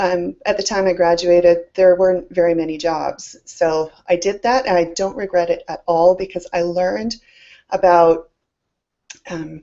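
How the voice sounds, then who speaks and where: A woman's fairly low-pitched voice at a moderate pace. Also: fairly even intonation. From Scotland, moved to Canada at ten. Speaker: summit host and business speaker. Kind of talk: live presentation, personal story. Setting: live online presentation.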